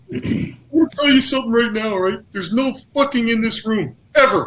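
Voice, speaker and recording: A put-on character voice is used here. The pitch is fairly high. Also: fairly quick pace. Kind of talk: casual, colloquial. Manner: laying down house rules.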